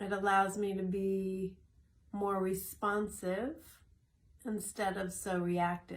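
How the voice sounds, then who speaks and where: Somewhat breathy and medium-pitched, a woman talks at a very slow pace. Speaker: wellness coach sharing daily tips. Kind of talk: short morning video talk. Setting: in a greenhouse.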